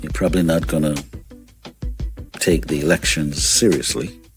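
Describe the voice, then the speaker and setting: Over music in the background, a man with a very deep, low pitch speaks with lively intonation. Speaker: radio show host. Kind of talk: morning radio show host talk. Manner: energetic, conversational.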